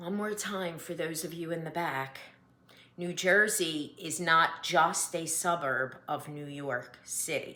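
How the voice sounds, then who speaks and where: Speaking very slowly in a Philadelphia accent, a woman with a fairly low pitch comes through with audible room echo and noticeable background noise. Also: ordinary pitch variation. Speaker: cross-stitch vlogger. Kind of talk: casual vlog monologue. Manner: reads from notes.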